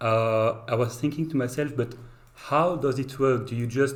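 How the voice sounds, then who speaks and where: Speaking with a French accent, a man uses a medium pitch, ordinary pitch variation and a moderate pace. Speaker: game developer streamer. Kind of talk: casual chat. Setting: live stream. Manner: halting.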